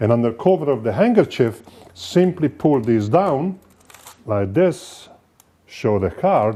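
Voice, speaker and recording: With an Italian accent, the speaker moves at a fairly slow pace through very wide pitch swings and long, frequent pauses. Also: man, medium pitch for a man. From Italy. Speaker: magician. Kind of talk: lecture.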